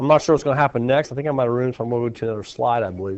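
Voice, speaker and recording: Here a man talks with very wide swings in pitch. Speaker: math teacher. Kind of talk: classroom lecture. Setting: classroom.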